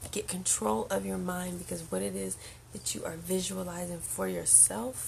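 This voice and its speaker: Soft-spoken whispering comes at a fairly slow pace, with audible room echo and noticeable background noise. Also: woman. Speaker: spiritual channel host, card reader. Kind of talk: livestream oracle card reading. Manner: soft-spoken, near whisper.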